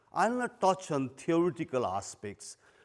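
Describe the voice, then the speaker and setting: A man with a Nepali accent speaks at a fairly high pitch and a fairly slow pace. His pitch swings very widely. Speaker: retired police chief. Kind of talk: lecture. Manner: loud.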